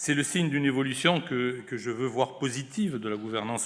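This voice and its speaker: In a southwestern French accent, a man speaks at a medium pitch and a moderate pace. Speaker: senior government official. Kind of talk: closing speech. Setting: conference with audience. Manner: formal.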